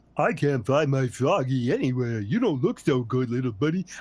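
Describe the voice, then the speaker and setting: Using a put-on character voice at medium pitch, a man speaks at a moderate pace. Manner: simple, dopey.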